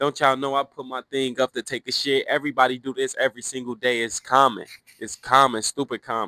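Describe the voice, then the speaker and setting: A man speaks at a fairly quick pace in a bright, sharp tone, recorded dry and close with no echo, very clean against a silent background. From Cincinnati, Ohio, US. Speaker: former prisoner telling life story. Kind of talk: casual storytelling. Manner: loud; animated.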